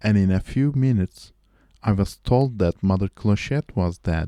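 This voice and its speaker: Speaking at a fairly slow pace with a non-native accent, a man has a fairly low pitch, ordinary pitch variation and a dark, mellow tone, the sound dry and close with no echo in a very clean recording with a silent background. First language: not English. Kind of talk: amateur audiobook-style reading of a short story. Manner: reading aloud, practice read.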